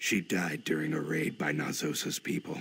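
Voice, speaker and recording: A man's growling, put-on character voice at a moderate pace. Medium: video game. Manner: chatty.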